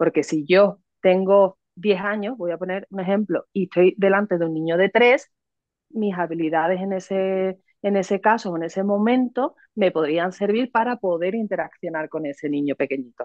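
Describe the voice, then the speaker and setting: A woman in a Cádiz Andalusian accent, medium pitch, ordinary pitch variation and a moderate pace. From Cádiz, Andalusia, Spain. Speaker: psychologist and educator. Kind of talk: interview explanation.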